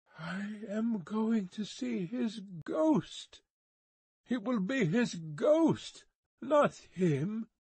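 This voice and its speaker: This is a put-on character voice. It sits fairly high in pitch and moves at a very slow pace. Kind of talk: literary, 18th-century. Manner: awe-stricken, dreamlike.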